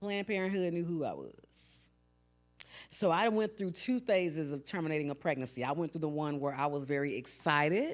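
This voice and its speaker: Lively intonation marks this woman's very deep, low pitch. Her tone is animated. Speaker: podcast host. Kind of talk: casual monologue. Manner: loud.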